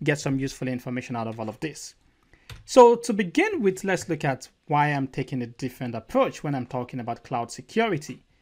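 Lively intonation marks this man's speech, which moves at a fairly quick pace. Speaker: presenter. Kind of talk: lecture. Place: home room.

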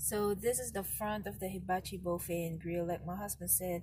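Over background music, a woman talks at a moderate pace. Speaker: family vlogger. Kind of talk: casual vlog chat. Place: car. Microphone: phone near.

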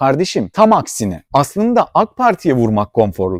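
An animated man speaks with very wide pitch swings in a dry, close sound with no echo. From Turkey, İzmir (Aegean). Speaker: political commentator YouTuber. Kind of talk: political commentary monologue.

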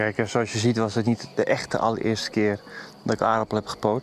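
A man talks at a fairly quick pace, his voice dry with no echo and faint music playing in the background. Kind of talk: casual vlog chat. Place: garden.

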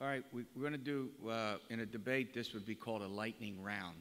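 A man talks at moderate speed, his pitch varying in an ordinary way. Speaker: forum moderator. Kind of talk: moderating a panel. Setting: college gymnasium with audience. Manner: lecture voice. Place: hall. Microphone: podium.

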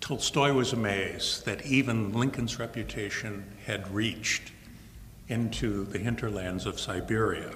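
A man speaking at a very slow pace, with light background noise and audible room echo. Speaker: guest lecturer. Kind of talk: lecture. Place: hall. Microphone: podium.

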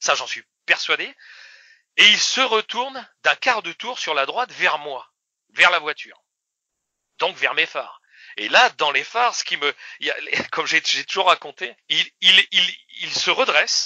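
A man's high-pitched, lively voice at a fairly slow pace, with long, frequent pauses. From northern France, Oise countryside. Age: 50s. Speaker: eyewitness. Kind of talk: testimony. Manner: halting, repeats words.

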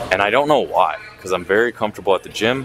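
A man speaks over noticeable background noise. The sound is dry, with no echo. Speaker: vlogger. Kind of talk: casual vlog chat. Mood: slightly anxious, reflective. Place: gym. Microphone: lapel.

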